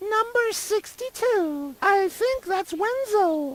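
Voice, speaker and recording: A woman uses a put-on character voice that is squeaky and extremely high in pitch. She speaks very slowly with lively intonation. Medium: video game. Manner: snippy, clears throat often.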